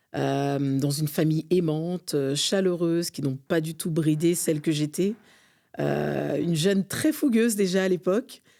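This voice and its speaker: A woman's fairly low, dark and mellow voice at a fairly slow pace, with ordinary pitch variation. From France, Montreuil, Seine-Saint-Denis. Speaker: community leader and consultant. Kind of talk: interview.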